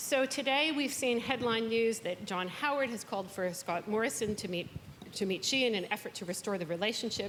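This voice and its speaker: With a Canadian accent, a woman speaks in a fairly high pitch with lively intonation and an unremarkable speaking voice. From Canada. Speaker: event moderator. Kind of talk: panel moderation. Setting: stage with audience.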